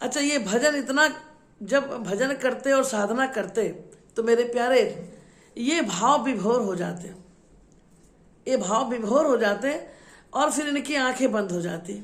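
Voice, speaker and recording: Audible room echo surrounds a woman's high-pitched voice. She leaves long, frequent pauses, and her pitch varies in an ordinary way. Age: 60s. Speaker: religious storyteller. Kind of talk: devotional storytelling. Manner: repetitive, emotive.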